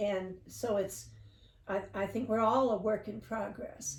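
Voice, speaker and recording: A woman talks at a fairly slow pace in a somewhat breathy voice with fairly even intonation. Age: 70s. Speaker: interview guest sharing life story. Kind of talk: casual interview chat.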